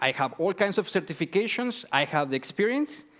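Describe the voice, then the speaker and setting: In a very clean recording with a silent background, a man with a Mexican accent speaks at a moderate pace, his pitch swinging very widely. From Mexico. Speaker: entrepreneur. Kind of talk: pitch presentation. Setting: stage with audience.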